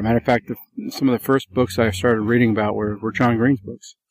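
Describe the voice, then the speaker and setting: Fairly quick speech from a man with an unremarkable speaking voice, medium pitch and fairly even intonation, in a very clean recording with a silent background. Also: dry, close sound with no echo. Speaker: Bigfoot witness. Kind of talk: interview recounting sightings.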